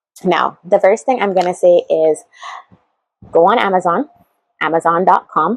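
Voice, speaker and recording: In a Barbadian accent, a woman speaks with an animated tone, ordinary pitch variation and a moderate pace, in a dry, close sound with no echo. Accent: Barbadian (Bajan) English. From Barbados. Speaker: YouTuber, how-to and lifestyle vlogger. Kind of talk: casual vlog tutorial. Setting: sitting talking to a camera. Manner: chatty, animated.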